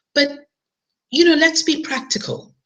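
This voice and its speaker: A woman at a moderate pace. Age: 50s. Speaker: online marketer. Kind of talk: webinar presentation. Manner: casual, with many fillers.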